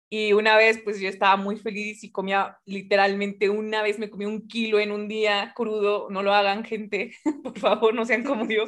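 A woman's fairly high, monotone, flat delivery at a moderate pace, with big swings in loudness and hardly any pauses. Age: 20s. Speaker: physics student and science communicator. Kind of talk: casual chat.

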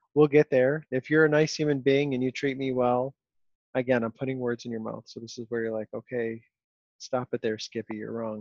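Speaking at a fairly quick pace, a man with a Western New York accent keeps his intonation fairly even. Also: medium pitch for a man, big swings in loudness. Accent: Western New York (Inland North). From Rochester, New York. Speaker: podcast host. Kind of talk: casual interview chat. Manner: fast when worked up.

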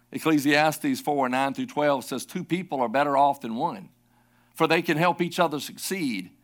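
Lively intonation marks this man's fairly high voice. The recording is very clean, with a silent background. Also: moderate pace. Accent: Southern US. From South Carolina. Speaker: pastor. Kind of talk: sermon. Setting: church.

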